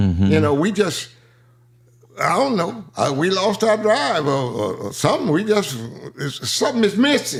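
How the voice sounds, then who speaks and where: At a moderate pace, a man speaks at a high pitch with very wide pitch swings. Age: 80s+. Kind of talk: interview answer.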